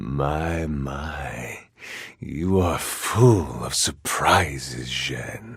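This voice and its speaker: A man puts on a character voice, very deep and low in pitch, speaking at a very slow pace. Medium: video game. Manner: languid, silky.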